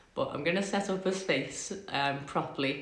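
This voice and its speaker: A woman with a Liverpool accent talks at a moderate pace with fairly even intonation. Noticeable background noise runs beneath her voice. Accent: Scouse. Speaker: podcast host. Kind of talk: casual talk to camera. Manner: chatty, rambling.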